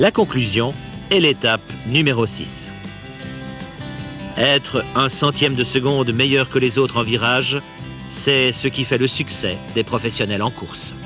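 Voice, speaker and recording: A man's medium-pitched voice at a fairly slow pace, with ordinary pitch variation and music in the background. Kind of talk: corporate sales training film narration. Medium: dub.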